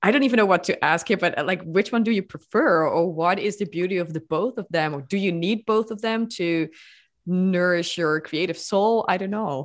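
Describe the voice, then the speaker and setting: Here a woman with a non-native accent talks at medium pitch and a moderate pace. Her pitch varies in an ordinary way against a quiet background. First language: not English. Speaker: podcast host. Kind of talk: interview.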